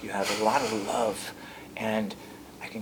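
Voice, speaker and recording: Noticeable background noise under a man's fairly low-pitched speech at a moderate pace. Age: 50s. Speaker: martial arts instructor and show host. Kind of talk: interview conversation.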